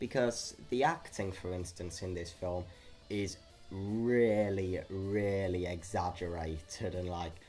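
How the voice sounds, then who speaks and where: Over music in the background, a man talks at a very slow pace, his pitch very deep and low and his intonation fairly even. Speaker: movie reviewer. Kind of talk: casual review talk to camera. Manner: some stuttering.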